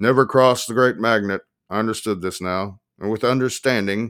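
Plain reading aloud with ordinary pitch variation comes through over a quiet background.

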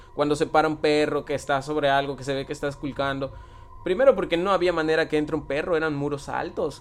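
A man with a fairly high pitch talks very fast, keeping his intonation fairly even. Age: 20s. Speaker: tattoo artist. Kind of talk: casual chat.

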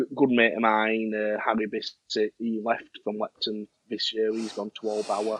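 A man with a Yorkshire accent speaks at medium pitch in a monotone, flat intonation, with hardly any pauses. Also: fairly slow pace. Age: 20s. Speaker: amateur cricket captain. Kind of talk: interview. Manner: loud.

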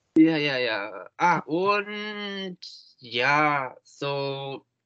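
This man speaks with a Japanese accent and a fairly high pitch. His tone is bright and sharp, and his intonation lively. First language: Japanese (speaking German). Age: 20s. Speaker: German learner. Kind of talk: interview. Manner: halting.

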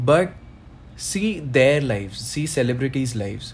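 Lively intonation rings out with audible room echo. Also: man. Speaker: podcast co-host. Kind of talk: casual chat.

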